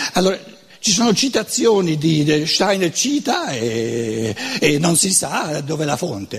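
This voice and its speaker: Amid noticeable background noise, a man with a Lombard accent talks at a fairly slow pace, his pitch fairly high with very wide swings. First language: Lombard dialect (speaking Italian). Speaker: lecturer on philosophy. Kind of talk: lecture. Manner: halting.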